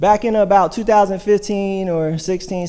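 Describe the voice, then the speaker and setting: The speaker is a man with an American accent. His tone is dark and mellow. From US Midwest, Hamilton, Ohio. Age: 30s. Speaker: church member sharing testimony. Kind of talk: testimony. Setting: church service.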